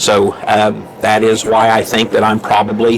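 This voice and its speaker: Speaking at a moderate pace with a medium pitch, a man with a southern Illinois accent is heard over noticeable background noise. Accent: southern rural Illinois. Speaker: politician. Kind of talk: interview. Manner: hesitant fillers.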